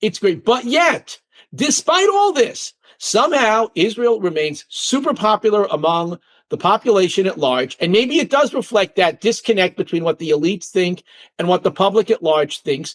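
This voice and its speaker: A man's high-pitched, animated voice with very wide pitch swings, in a dry, close sound with no echo and a quiet background. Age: 60s. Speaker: author. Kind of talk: interview. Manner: fast.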